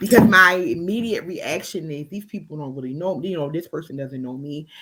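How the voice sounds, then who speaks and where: Against noticeable background noise, a woman with a fairly low pitch speaks at a fairly quick pace, with lively intonation and big swings in loudness. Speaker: podcast co-host. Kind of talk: casual chat.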